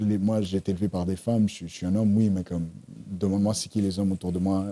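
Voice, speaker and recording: Very fast and flat in intonation, a man speaks with a fairly low pitch and a dark, mellow tone. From Montreal, Quebec; Panamanian family. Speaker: screenwriter and series creator. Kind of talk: casual podcast interview. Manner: halting, many repetitions; soft voice.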